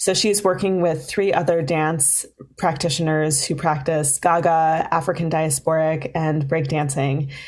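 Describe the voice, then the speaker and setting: Hardly pausing, a woman with an American accent and a very deep, low pitch speaks at a fairly slow pace with fairly even intonation. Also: very even loudness. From Minnesota, Duluth. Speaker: festival development director. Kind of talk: interview. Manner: hesitant, many fillers.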